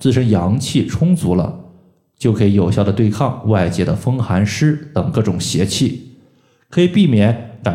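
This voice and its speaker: Against audible room echo, a man speaks at a fairly slow pace with lively intonation in a dark, mellow, somewhat breathy tone. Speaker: podcast host, moxibustion practitioner. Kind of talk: health tutorial. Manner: explanatory, frequent filler particles.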